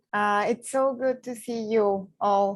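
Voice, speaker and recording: In a very clean recording with a silent background, a woman with a Spanish accent speaks at a medium pitch with fairly even intonation. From Mexico. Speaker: poet. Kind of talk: poetry reading with commentary. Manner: hesitant, with fillers.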